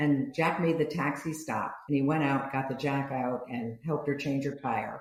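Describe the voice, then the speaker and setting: Speaking at a moderate pace with hardly any pauses, a woman with a very deep, low pitch keeps a monotone, flat intonation amid audible room echo. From US, Italian-American family. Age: 70s. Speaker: business founder and author. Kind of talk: podcast interview.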